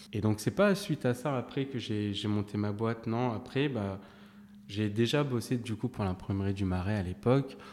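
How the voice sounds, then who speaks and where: A man in a normal speaking voice talks at a moderate pace, his pitch fairly low and its variation ordinary. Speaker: print production director. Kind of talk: casual interview.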